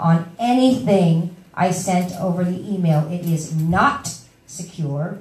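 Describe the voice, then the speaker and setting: A woman speaks at a fairly low pitch with ordinary pitch variation. Noticeable background noise and audible room echo fill the recording. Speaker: workshop presenter sharing housing search experience. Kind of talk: workshop talk. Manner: fast.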